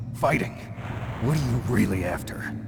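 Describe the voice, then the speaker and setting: Over loud background noise, a man uses a put-on character voice with a very deep, low pitch at a moderate pace. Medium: video game. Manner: terse, low-key.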